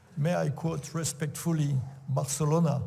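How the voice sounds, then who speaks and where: Speaking in a French accent at a moderate pace, a man with a fairly high pitch has a dark, mellow tone, a somewhat breathy sound and fairly even intonation, with audible room echo around him. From France. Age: old. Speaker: sports official and event organizer. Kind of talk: conference talk. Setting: auditorium with audience. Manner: halting, many fillers.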